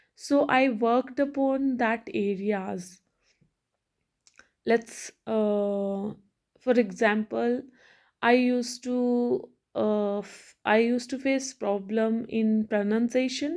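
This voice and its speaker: On a very clean recording with a silent background, a woman with an Indian accent speaks at a very slow pace with long, frequent pauses, a fairly high pitch and ordinary pitch variation. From India, Hindi-speaking. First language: Hindi. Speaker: English learning vlogger. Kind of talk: motivational talk to camera. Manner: halting, many fillers and restarts.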